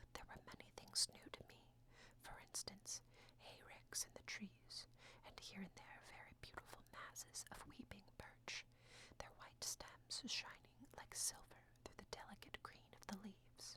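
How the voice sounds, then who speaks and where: A woman whispers at a fairly slow pace, her loudness swinging widely. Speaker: ASMR audiobook reader. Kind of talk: whispered audiobook reading for sleep. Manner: whispered, soft-spoken.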